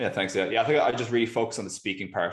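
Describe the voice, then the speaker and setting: A man speaks with an Irish accent against a quiet background. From Ireland, Galway. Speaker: startup founder. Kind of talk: interview.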